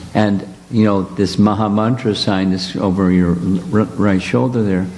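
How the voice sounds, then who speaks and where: Audible room echo and noticeable background noise surround a man speaking at a moderate pace with a fairly low pitch, fairly even intonation and very even loudness. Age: 70s. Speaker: spiritual teacher leading retreat. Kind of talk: casual chat.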